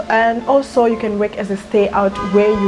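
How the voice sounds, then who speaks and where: Music plays behind a woman at medium pitch. She speaks at a fairly quick pace. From Zimbabwe. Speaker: YouTuber. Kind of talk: casual talk to camera.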